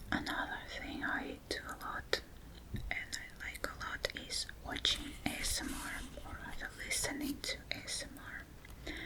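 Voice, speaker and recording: A woman whispers at a fairly slow pace, with noticeable background noise and audible room echo. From Russia. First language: Russian. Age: 30s. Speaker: language teacher. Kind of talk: ASMR whispered introduction. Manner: whispering.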